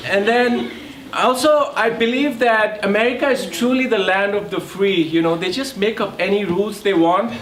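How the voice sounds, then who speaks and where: A man with an Indian accent speaks at a moderate pace, at a high pitch with ordinary pitch variation. The room echo is audible and background noise is noticeable. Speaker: comedian. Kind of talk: stand-up.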